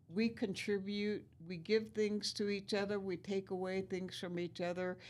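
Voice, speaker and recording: A woman speaks with a Lakota accent. Her intonation stays flat and monotone. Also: medium pitch for a woman, moderate pace. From US Great Plains, Pine Ridge Reservation, South Dakota. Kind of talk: interview, life story.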